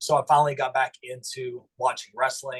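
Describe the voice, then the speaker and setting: A man speaks at a fairly quick pace in a slight Southern US accent, his voice medium in pitch and somewhat breathy. His intonation is monotone and flat. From US South, eastern Kentucky Appalachia. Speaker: pro wrestler and chiropractor. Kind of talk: interview. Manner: hesitant, many fillers.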